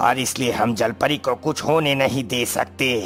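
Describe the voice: Using a cartoonish character voice at medium pitch, a man talks at a moderate pace over clear background noise.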